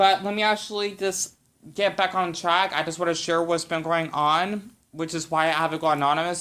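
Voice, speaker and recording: A man talks at a moderate pace with a high pitch, a bright, sharp tone and fairly even intonation, with an American accent. The recording is very clean, with a silent background. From United States. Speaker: YouTuber. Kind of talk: casual vlog response.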